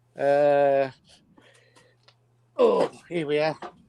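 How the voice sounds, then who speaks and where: The speaker is a man with a Yorkshire accent. His intonation stays monotone and flat. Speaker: livestream guest. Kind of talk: casual chat. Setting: livestream.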